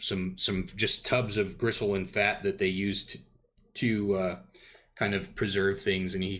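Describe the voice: The reading is plain reading aloud. Its intonation holds fairly even.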